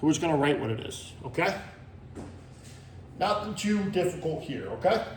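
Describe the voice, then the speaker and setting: The room echo is audible. A man's speech comes very fast. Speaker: math teacher. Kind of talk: tutorial.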